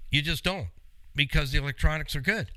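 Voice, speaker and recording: The speaker has a Canadian accent. The tone is animated. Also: man. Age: 60s. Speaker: radio host, car mechanic. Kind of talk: call-in style Q&A show.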